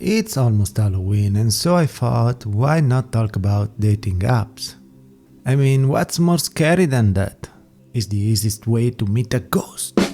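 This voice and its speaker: Over music in the background, a man with an Italian accent speaks at a medium pitch, with lively intonation and very even loudness. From Italy. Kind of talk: casual talk to camera.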